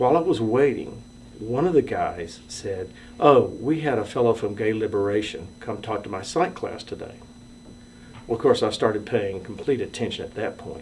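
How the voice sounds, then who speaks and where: Talking at a moderate pace, a man with a normal speaking voice uses a medium pitch and lively intonation. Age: 60s. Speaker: storyteller sharing coming-out story. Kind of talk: personal testimony.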